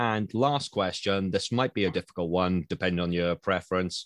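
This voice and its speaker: In a Welsh accent, a man speaks at a very deep, low pitch with ordinary pitch variation. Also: dry, close sound with no echo. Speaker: podcast host. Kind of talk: casual interview chat.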